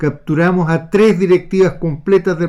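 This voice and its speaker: This man speaks with a Chilean accent at a moderate pace. His tone is dark and mellow. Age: 70s. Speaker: retired naval officer. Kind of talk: political commentary monologue.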